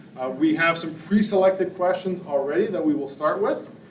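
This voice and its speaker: There is audible room echo around this man's voice. He talks at a fairly quick pace. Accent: Canadian. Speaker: debate moderator. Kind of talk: public meeting moderation. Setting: community hall with audience, live stream.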